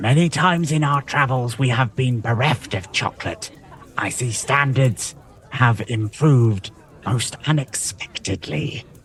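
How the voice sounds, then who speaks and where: A man uses a put-on character voice at medium pitch. He talks at a moderate pace with ordinary pitch variation. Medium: actual play. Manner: refined, archly polite.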